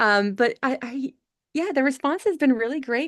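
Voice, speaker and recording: A woman with a Southern US accent, lively intonation and a fairly quick pace, in a dry, close sound with no echo over a quiet background. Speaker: author. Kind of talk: interview.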